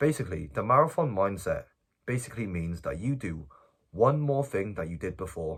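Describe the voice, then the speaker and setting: A man speaks at a fairly quick pace in a fairly low, somewhat breathy voice with very wide pitch swings, on a very clean recording with a silent background. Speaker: self-improvement youtuber. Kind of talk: casual vlog advice. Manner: stuttering.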